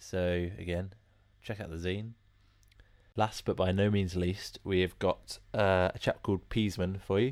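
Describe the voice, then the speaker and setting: With an English accent, a man speaks in a very deep, low pitch at a fairly slow pace, his intonation monotone and flat. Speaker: music podcast host. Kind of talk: casual presenting.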